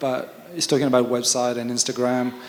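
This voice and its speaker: Speaking with a French accent at a medium pitch, a man talks at a fairly quick pace over noticeable background noise. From France. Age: 50s. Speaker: photographer. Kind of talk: panel talk at a seminar. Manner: hesitant, many fillers.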